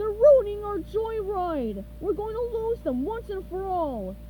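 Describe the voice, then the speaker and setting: Against clear background noise, a put-on character voice goes at a fairly slow pace. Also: woman. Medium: read story. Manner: boastful, blustering.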